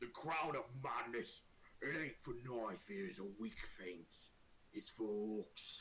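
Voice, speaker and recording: Here a man performs a put-on character voice at a medium pitch. He goes at a fairly slow pace, with clear background noise behind him. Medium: actual play. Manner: slow, self-assured.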